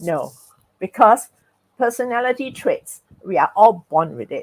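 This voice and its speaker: Heard in a dry, close sound with no echo, a woman with vocal fry speaks at a fairly high pitch and a moderate pace, her pitch swinging very widely. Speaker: speaker on personality and emotions. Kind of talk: talk with host in live webinar.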